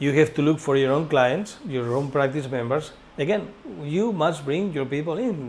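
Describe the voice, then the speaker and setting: This man's voice sits fairly high in pitch and moves at a moderate pace. Noticeable background noise runs underneath. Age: 60s. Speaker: director of a training school. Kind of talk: informational course presentation. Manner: halting.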